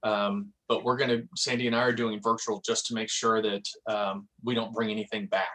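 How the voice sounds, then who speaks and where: A man with a medium pitch speaks in a bright, sharp tone with monotone, flat intonation. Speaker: real estate office manager. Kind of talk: office meeting announcements. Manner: fast.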